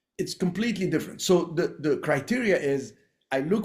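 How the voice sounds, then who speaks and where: A man's fairly quick speech in an Arabic accent. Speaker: real estate investor. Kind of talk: podcast interview.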